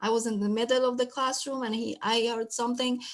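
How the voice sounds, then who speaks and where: The woman has a non-native accent and a fairly high pitch, speaking at a fairly quick pace in a monotone, flat way. The recording is very clean, with a silent background. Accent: foreign. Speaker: special education teacher. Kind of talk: panel talk sharing experiences. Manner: halting, many fillers.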